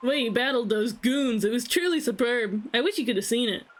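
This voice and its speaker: A put-on character voice at a fairly quick pace, with ordinary pitch variation. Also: woman, high pitch for a woman. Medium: game stream.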